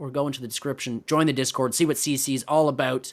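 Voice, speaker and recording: The recording is very clean, and the background is silent. The talking runs at a fairly quick pace. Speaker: esports caster. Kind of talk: live commentary sign-off. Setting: live stream.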